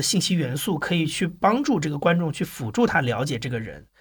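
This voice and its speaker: A man talks in a high voice at a fairly quick pace. His tone is bright and sharp. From Anhui, China, with long stays in Shanghai. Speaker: podcast producer and entrepreneur. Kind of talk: casual interview chat.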